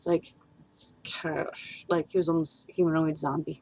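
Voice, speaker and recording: A woman with a very deep, low pitch is heard in dry sound with no echo. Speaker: streamer and D&D world builder; streamer. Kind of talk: casual livestream chat. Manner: loud. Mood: relaxed, reminiscing. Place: home room. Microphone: webcam.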